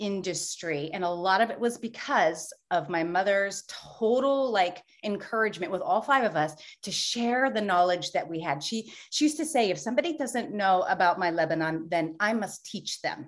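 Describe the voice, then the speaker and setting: An American-accented woman at medium pitch and moderate pace, with very wide pitch swings, hardly any pauses and a quiet background. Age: 50s. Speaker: belly dance and fitness instructor. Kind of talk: interview. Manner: animated.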